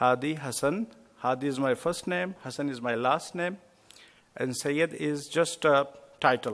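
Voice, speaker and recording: A man with a non-native accent speaks at a fairly high pitch. His pace is fairly slow. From India. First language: not English. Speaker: imam. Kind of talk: lecture. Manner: hesitant, with fillers.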